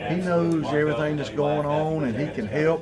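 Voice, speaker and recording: Over noticeable background noise and audible room echo, a man speaks at a moderate pace with a fairly high pitch. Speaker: football offensive line coach. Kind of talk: press interview. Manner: loud and boisterous.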